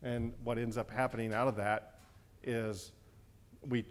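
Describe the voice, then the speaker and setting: A man with an ordinary speaking voice talks at a moderate pace and medium pitch, with fairly even intonation. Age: 60s. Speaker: physician and panel moderator. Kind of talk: conference opening remarks.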